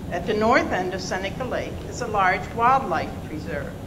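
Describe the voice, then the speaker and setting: With audible room echo and noticeable background noise, a woman speaks at a fairly slow pace and fairly high pitch, using lively intonation. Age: 70s. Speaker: public hearing speaker. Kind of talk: public testimony. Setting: public hearing.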